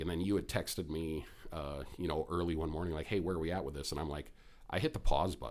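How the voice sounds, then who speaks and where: At a very fast pace, a man talks with a very deep, low pitch, ordinary pitch variation and vocal fry. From Minnesota. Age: 40s. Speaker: real estate investor and podcast host. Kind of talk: casual chat.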